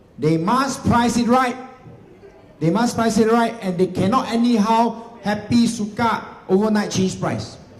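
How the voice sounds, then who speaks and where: In a Singaporean accent, a man talks at a fairly slow pace with an animated tone, with audible room echo and noticeable background noise. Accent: Singaporean English (Singlish). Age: 40s. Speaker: real estate agency leader giving seminar. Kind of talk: seminar presentation to live audience. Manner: animated, repetitive emphasis.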